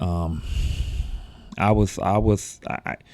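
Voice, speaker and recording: The man's voice sits at a fairly low pitch. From Chicago, US Midwest. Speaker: podcast host. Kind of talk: personal monologue.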